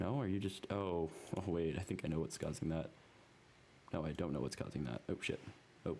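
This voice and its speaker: With vocal fry and a dark, mellow tone, a man speaks at a very deep, low pitch and a fairly quick pace, keeping very even loudness and lively intonation despite long, frequent pauses. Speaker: programming tutorial creator. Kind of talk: screen-recorded coding tutorial. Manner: fast; casual, halting with many ums.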